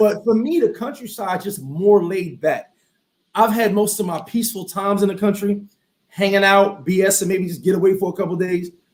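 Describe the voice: With audible room echo, a man speaks at a moderate pace in a high voice with ordinary pitch variation.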